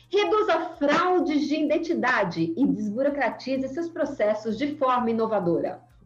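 The voice moves at a fairly slow pace with very wide pitch swings over noticeable background noise. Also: woman. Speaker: data privacy lawyer and association founder. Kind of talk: podcast interview. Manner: animated.

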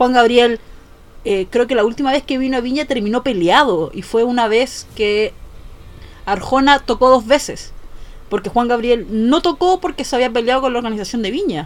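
A high-pitched woman with a Chilean accent, lively intonation and a moderate pace. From Chile, Valparaíso region. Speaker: podcast host, editor. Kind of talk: casual chat.

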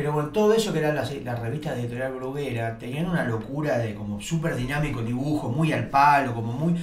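Talking at a very fast pace with hardly any pauses, a fairly high-pitched man is heard over noticeable background noise and audible room echo. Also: ordinary pitch variation. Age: 40s. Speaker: cartoonist. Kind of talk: casual chat.

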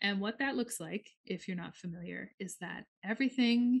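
A woman with an American accent speaks at a fairly quick pace, somewhat breathy. Her pitch varies in an ordinary way. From US Midwest, northern Minnesota. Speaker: astrologer and healing practitioner. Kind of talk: casual chat.

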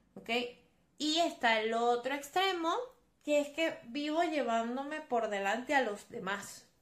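With a high pitch and lively intonation, a woman speaks at a fairly slow pace. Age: 20s. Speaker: psychologist and podcast host. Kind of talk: solo podcast monologue on psychology.

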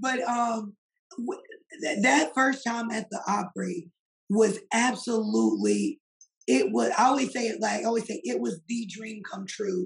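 Speaking fairly slowly, a woman with an American accent uses a fairly high pitch and ordinary pitch variation. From US South, Poplarville, Mississippi. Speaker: country singer. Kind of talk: casual interview.

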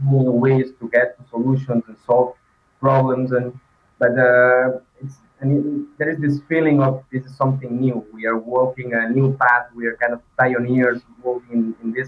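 At a moderate pace, the speaker uses monotone, flat intonation with a non-native accent and big swings in loudness. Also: man, medium pitch for a man. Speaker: design manager. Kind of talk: interview. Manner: halting.

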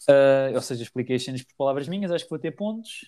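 On a very clean recording with a silent background, a man talks at a very fast pace in a fairly high voice with a dark, mellow tone. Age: 20s. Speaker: comedian. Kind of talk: casual chat.

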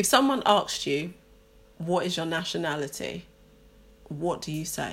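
With a London accent and vocal fry, a woman talks at a fairly low pitch with lively intonation and long, frequent pauses. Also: moderate pace. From London, England. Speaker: podcast co-host, teacher. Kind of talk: casual chat.

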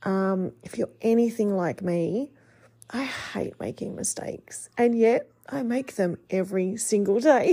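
A woman's fairly high voice with an Australian accent and a dark, mellow tone. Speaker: podcast host and life coach. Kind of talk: casual monologue podcast; scripted podcast intro. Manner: quieter than usual.

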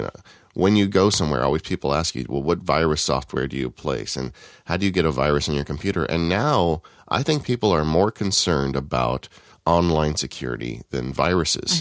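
A man speaks at a fairly quick pace in a very deep, low voice with vocal fry and lively intonation, recorded very cleanly against a silent background with a dry, close sound and no echo. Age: 40s. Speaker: tech podcast co-host. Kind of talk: casual chat.

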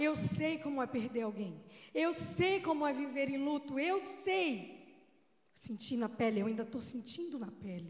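Speaking at a fairly slow pace with a Brazilian accent, a woman with a high pitch uses very wide pitch swings and an animated tone. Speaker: preacher. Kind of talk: sermon in church, warm and earnest, delivered to a congregation. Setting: church. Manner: fervent, emotional, pleading tone; animated, exclaiming, repeating phrases for emphasis.

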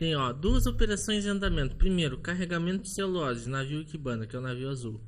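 A man talks very fast with hardly any pauses, his pitch fairly high. The room echo is audible. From Rio Grande do Sul, Brazil. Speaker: ship photographer and port operations worker. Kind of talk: casual interview chat. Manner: halting.

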